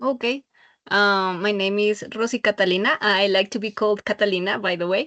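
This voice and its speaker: In a quiet background with a dry, close sound and no echo, a woman with a Spanish accent talks at a fairly quick pace, her bright, sharp voice medium in pitch with fairly even intonation. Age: 40s. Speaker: adult university student. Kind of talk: self-introduction in class. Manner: halting.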